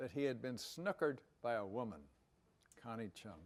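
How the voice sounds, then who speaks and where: The background is silent and the recording very clean. A man does the talking. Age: 80s+. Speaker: former university president and professor. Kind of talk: personal talk to an audience. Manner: halting, many filler sounds.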